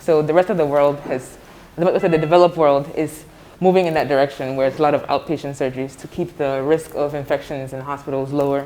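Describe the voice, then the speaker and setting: A woman with an American accent speaks very fast at a very deep, low pitch with fairly even intonation. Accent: doesn't sound Ghanaian, American-sounding. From United States. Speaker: medical center director. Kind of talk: guided tour interview.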